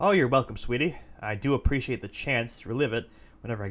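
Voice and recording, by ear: The speaker reads text out loud. It comes across in a natural voice.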